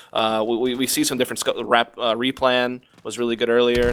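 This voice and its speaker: Noticeable background noise runs under a man's medium-pitched speech, which comes at a fairly quick pace. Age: 20s. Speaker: esports caster. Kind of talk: live commentary. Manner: casual, conversational.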